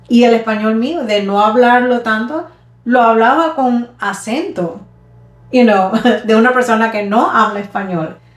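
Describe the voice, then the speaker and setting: Over music in the background and with audible room echo, a woman talks at a moderate pace in a fairly high pitch with ordinary pitch variation. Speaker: podcast co-host. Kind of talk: casual chat. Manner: halting, with repetitions.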